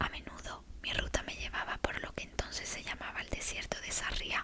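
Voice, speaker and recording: Against noticeable background noise, a woman whispers in a calm tone. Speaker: ASMR creator. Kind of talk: ASMR bedtime book reading. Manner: soft-spoken, slow, calm.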